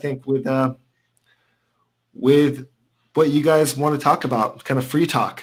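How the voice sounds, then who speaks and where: In a very clean recording with a silent background, a man with an American accent talks at a fairly slow pace. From California. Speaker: food and travel video creator. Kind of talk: casual livestream chat.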